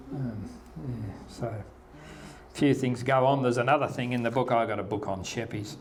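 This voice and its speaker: A man in an Australian accent, ordinary pitch variation, and audible room echo. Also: medium pitch for a man, moderate pace. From Western Australia, Margaret River. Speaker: local historian speaker. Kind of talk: talk to local audience. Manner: halting.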